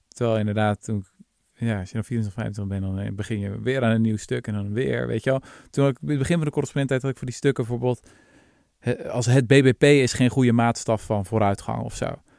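A plain, everyday voice at a fairly quick pace, with ordinary pitch variation and a dry, close sound with no echo. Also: man, medium pitch for a man, very clean recording, silent background. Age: 30s. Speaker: podcast host, historian. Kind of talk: casual chat.

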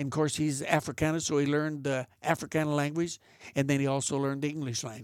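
A man's fairly high, flat, monotone voice at a very fast pace, on a very clean recording with a silent background. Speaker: big-game hunter and museum founder. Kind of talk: casual chat.

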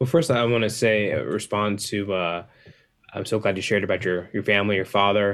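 Talking at a fairly quick pace in an American accent, a man has an unremarkable speaking voice, a fairly low pitch and ordinary pitch variation. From US South, Atlanta, Georgia. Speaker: author and music producer. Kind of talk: interview.

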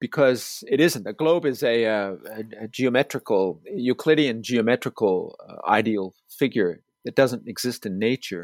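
Recorded very cleanly with a silent background and a dry, close sound with no echo, a man with a normal speaking voice and an American accent talks at a moderate pace in a medium pitch with lively intonation. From US, Staten Island, New York City. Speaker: landscape geographer, professor. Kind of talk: interview.

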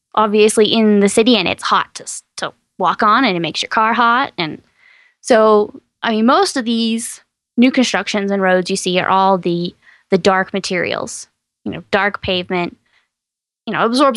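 A woman with an American accent uses an unremarkable speaking voice at medium pitch and a moderate pace, with ordinary pitch variation, sounding dry and close with no echo against a quiet background. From East Texas. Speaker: science podcast host. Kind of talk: casual chat.

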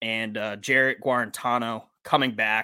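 Recorded very cleanly with a silent background and a dry, close sound with no echo, a man with an American accent speaks at a moderate pace in a bright, sharp tone. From Massachusetts. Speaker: podcast host. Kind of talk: casual chat.

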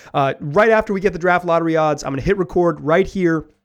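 Against a quiet background, a man with an unremarkable speaking voice talks at a fairly quick pace with ordinary pitch variation. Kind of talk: game show host parody, playful sports-podcast patter. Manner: upbeat, optimistic, laughing at own bit.

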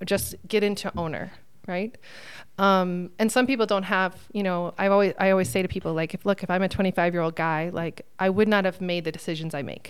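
In a plain, everyday voice, a woman talks fairly quickly at a medium pitch with fairly even intonation. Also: very clean recording, silent background. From Phoenix, Arizona. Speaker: painting business owner. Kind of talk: podcast interview. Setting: conference studio room.

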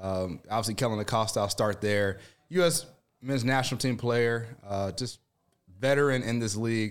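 A man with an American accent and a normal speaking voice talks at a medium pitch and a fairly quick pace with ordinary pitch variation. The recording is very clean, with a silent background. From Chicago area (Evanston), US Midwest. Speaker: former pro soccer player, radio color commentator. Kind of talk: casual sports chat.

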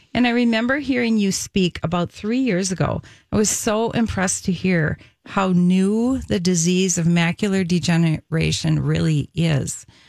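A woman speaks at a moderate pace with a medium pitch and lively intonation, in an unremarkable speaking voice, her loudness very even on a very clean recording with a silent background. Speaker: nutritionist radio co-host. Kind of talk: radio talk show.

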